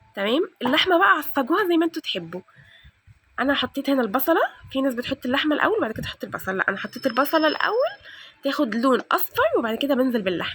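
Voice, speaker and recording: This woman's voice sits high and makes very wide pitch swings. She talks at a very fast pace. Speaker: home cooking and cleaning vlogger. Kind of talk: cooking tutorial. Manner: loud.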